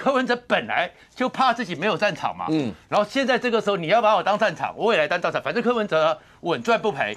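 The man's pitch moves through very wide swings. He speaks at a very fast pace. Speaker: political commentator guest. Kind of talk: political commentary. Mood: animated analytical. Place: studio. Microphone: lapel.

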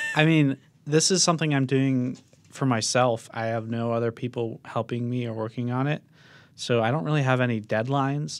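An ordinary speaking voice, a man at medium pitch talks at a moderate pace with ordinary pitch variation. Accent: American. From Connecticut. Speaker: podcast host. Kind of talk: casual chat. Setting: outdoors.

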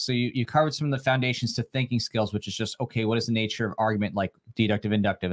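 In a dry, close recording with no echo, a man has an unremarkable speaking voice at a medium pitch with fairly even intonation. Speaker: co-host. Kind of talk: casual livestream chat. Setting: online livestream.

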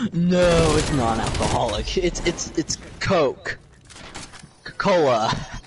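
Over noticeable background noise, a high-pitched man speaks very slowly with long, frequent pauses and lively intonation. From Sweden. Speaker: gamer joining a live stream. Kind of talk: casual chat while gaming.

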